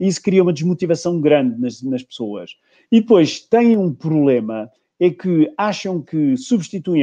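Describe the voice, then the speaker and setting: High-pitched man with a dark, mellow tone, lively intonation and moderate pace, over a quiet background. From Portugal. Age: 60s. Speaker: leadership coach and trainer. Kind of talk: interview.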